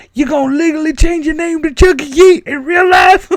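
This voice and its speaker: Putting on a character voice, a man talks at a fairly quick pace in an extremely high pitch. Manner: put-on character voice.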